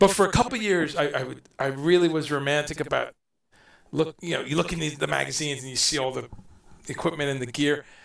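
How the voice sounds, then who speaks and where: A man speaks very fast at a fairly high pitch, with vocal fry. His pitch variation is ordinary. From Guyana. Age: 50s. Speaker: musician and guest. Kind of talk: casual interview chat. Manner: halting, many false starts.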